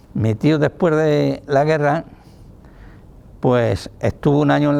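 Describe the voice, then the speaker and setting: Noticeable background noise sits behind a man with a medium pitch and ordinary pitch variation, speaking at a very slow pace. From Spain, Toledo province (rural Castile-La Mancha). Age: 80s+. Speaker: retired factory worker. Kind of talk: oral history testimony.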